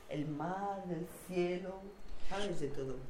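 A woman speaks at a fairly low pitch, with audible room echo and noticeable background noise. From Basque Country (San Sebastián), Spain. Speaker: local resident hosting a visitor. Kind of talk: casual chat. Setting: at home in her flat. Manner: animated.

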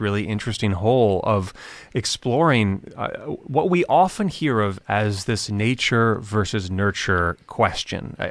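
A man's fairly low-pitched, ordinary speaking voice, with lively intonation and a fairly slow pace, on a very clean recording against a silent background. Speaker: radio host. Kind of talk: radio interview.

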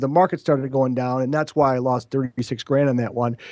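A man with an American accent and a dark, mellow tone talks at a very fast pace over a quiet background. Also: dry, close sound with no echo. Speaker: real estate investor. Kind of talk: podcast interview. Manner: fast talker.

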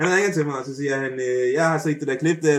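At a moderate pace, a man with a fairly high voice speaks with ordinary pitch variation. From Denmark. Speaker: YouTube personality and childcare worker. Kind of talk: casual interview. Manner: halting, many fillers.

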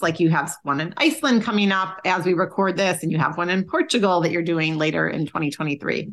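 This woman has a normal speaking voice. Her pitch is medium, and it varies in an ordinary way. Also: quiet background. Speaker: podcast co-host. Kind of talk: casual interview.

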